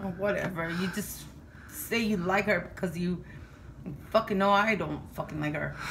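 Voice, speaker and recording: In a room with audible echo, a woman at medium pitch speaks with fairly even intonation and long, frequent pauses. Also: moderate pace. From Mexico, Chihuahua. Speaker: vlogger's mother. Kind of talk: casual chat.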